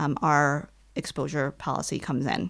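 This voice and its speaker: A woman with an American accent speaks at a very deep, low pitch with vocal fry on a very clean recording with a silent background. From US Midwest, Detroit, Michigan. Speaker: nonprofit executive and abuse-prevention advocate. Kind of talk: interview.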